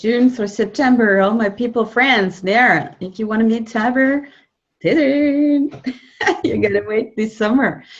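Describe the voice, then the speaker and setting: Somewhat breathy and fairly high, a woman's voice moves at a fairly slow pace with ordinary pitch variation. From France. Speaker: interviewer. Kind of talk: interview.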